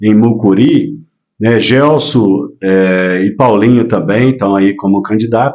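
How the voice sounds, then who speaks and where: With ordinary pitch variation, a man talks at a fairly low pitch. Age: 60s. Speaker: businessman and former mayoral candidate. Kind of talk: casual interview chat. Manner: hesitant, many filler words.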